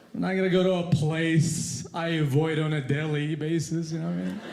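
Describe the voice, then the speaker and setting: The speech moves at a moderate pace. There is audible room echo along with noticeable background noise. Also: man. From Yemen. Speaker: stand-up comedian. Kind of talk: stand-up. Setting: stage with audience. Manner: mumbling.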